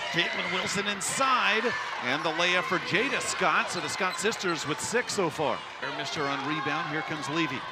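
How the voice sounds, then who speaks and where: There is noticeable background noise as a man speaks at a moderate pace. His pitch is high and his intonation lively. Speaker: TV play-by-play basketball commentator. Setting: broadcast booth at arena. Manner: conversational, chatty asides between calls with small laughs.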